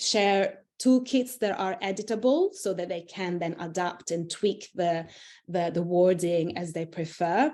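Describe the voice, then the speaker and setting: The voice has a dark, mellow tone and an Italian accent, with ordinary pitch variation. It moves at a fairly slow pace against a quiet background. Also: woman, medium pitch for a woman. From Italy. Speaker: internal communications executive. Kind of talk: interview. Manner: halting, many fillers.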